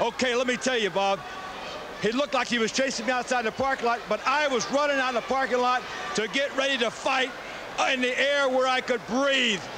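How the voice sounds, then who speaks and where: A man uses a raised, projected voice at an extremely high pitch with fairly even intonation. He moves at a fairly quick pace over noticeable background noise. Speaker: professional wrestler / wrestling manager. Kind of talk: wrestling promo, boastful and angry, addressing a rival. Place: studio. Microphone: handheld.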